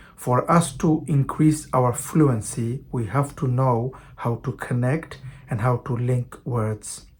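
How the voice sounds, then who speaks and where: Speaking very slowly with a non-native accent, the man shows ordinary pitch variation. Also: medium pitch for a man. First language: not English. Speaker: English teacher. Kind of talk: online language lesson.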